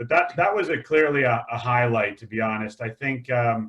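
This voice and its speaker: A man's bright, sharp voice in an American accent, medium pitch, ordinary pitch variation, fairly quick pace. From United States. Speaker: investment panelist. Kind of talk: webinar Q&A. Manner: hesitant, many fillers.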